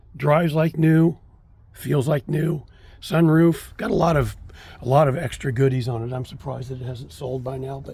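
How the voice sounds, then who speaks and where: With noticeable background noise around him, a man talks, his pitch varying in an ordinary way. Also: moderate pace. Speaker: car collector. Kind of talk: casual walkaround video. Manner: halting with many fillers.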